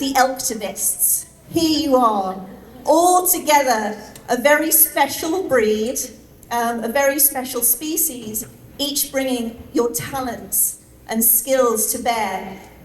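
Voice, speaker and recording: Lively intonation at a very slow pace, with noticeable background noise and audible room echo. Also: woman, high pitch for a woman. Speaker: animal rights activist. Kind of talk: speech at celebration event. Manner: hesitant, many fillers.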